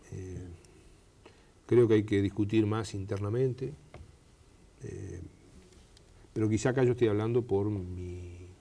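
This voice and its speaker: The voice has a dark, mellow tone, somewhat breathy, with fairly even intonation. Loudness swings widely, and long pauses come often. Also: man, fairly low pitch for a man, fairly slow pace. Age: 60s. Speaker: government minister. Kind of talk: TV interview. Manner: hesitant with fillers.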